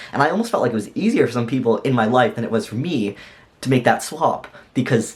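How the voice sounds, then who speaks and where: A man speaks at a fairly quick pace with lively intonation. He has an unremarkable speaking voice. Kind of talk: casual vlog monologue. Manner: conversational with fillers.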